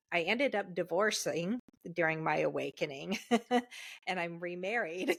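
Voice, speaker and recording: This woman has a fairly low pitch with vocal fry and ordinary pitch variation, talking at a moderate pace with long, frequent pauses. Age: 40s. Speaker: life and empowerment coach. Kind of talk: casual podcast interview.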